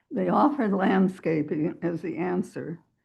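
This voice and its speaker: Somewhat breathy, the voice moves at a very slow pace. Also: woman. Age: 80s+. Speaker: neighbor speaking at public hearing. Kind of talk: public comment at council meeting. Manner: halting.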